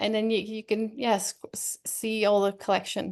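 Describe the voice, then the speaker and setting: A normal speaking voice moves at a fairly slow pace over a quiet background. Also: woman. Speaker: online fabric shop owner. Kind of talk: product demo on a live video chat. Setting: video call.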